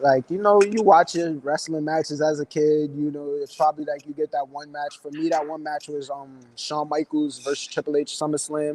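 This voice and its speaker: A fairly high-pitched man with an American accent at a moderate pace, fairly even in intonation with hardly any pauses, in a dry, close sound with no echo. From New York City (Bronx). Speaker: professional wrestler. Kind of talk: casual interview chat.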